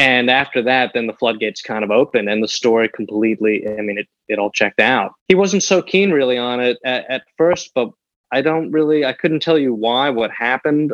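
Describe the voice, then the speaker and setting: Speaking in an ordinary speaking voice with an American accent, a man uses a medium pitch and ordinary pitch variation at a fairly quick pace. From New York City (raised from age seven; early years Milan and Paris). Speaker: newspaper obituary writer. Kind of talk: interview.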